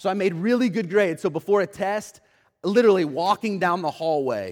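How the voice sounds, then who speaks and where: With an American accent, a man speaks at a fairly quick pace, his pitch high and his intonation lively. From Oklahoma City, US. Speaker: pastor. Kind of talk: sermon. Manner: halting.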